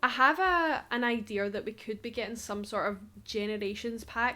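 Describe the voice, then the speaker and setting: In a Scottish accent, a woman speaks at a moderate pace. Her pitch is fairly high, with ordinary variation. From Scotland. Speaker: Sims YouTuber. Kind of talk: casual gaming vlog rant. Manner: animated.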